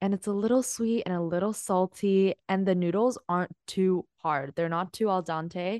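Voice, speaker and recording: A woman with a normal speaking voice talks at a moderate pace with hardly any pauses, her medium pitch showing ordinary variation. The sound is dry and close, with no echo. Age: 20s. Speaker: podcast co-host. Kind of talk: casual chat.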